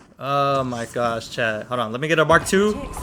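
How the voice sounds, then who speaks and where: Against noticeable background noise, a man talks with a medium pitch and ordinary pitch variation. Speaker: gaming YouTuber. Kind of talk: gameplay commentary.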